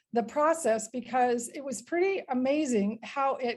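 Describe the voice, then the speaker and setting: Her pitch high and varying in an ordinary way, a woman speaks at a fairly slow speed. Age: 60s. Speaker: network marketing distributor. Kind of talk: online group call presentation. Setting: online group call. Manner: halting, with many fillers.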